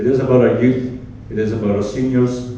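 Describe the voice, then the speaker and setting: Noticeable background noise and audible room echo surround a man whose intonation stays fairly even as he talks at a moderate pace. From Scotland. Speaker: mayoral candidate. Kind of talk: candidate speech at public forum. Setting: community hall forum with audience.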